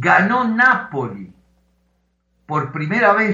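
Using lively intonation, a man talks at a very slow pace. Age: 60s. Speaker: football journalist. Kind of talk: interview.

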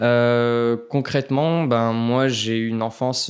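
In a very clean recording with a silent background, a man speaks at a medium pitch with monotone, flat intonation. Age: 20s. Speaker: photographer and videographer. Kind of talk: casual chat.

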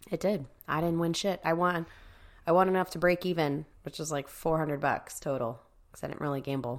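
A woman with a fairly low pitch speaks in a normal speaking voice with ordinary pitch variation. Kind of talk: casual banter and games. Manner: joking, sarcastic, profane.

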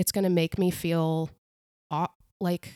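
A woman speaks in a fairly low voice with monotone, flat intonation. The sound is dry and close, with no echo. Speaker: podcast host and life coach. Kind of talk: casual chat. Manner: conversational, filler-heavy, reflective.

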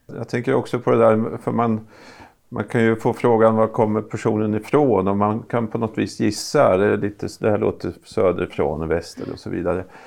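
A man with a fairly low pitch talks at a moderate pace, and his voice has vocal fry. The background is quiet. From Östergötland, Norrköping area. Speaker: university vice-chancellor, podcast co-host. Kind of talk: casual interview chat.

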